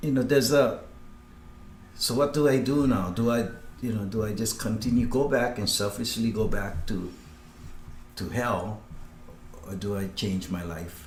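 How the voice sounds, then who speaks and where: Long pauses come often as a man speaks at a moderate pace, his medium pitch showing ordinary variation. The room echo is audible. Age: 60s. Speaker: former career criminal. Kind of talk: testimony. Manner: halting.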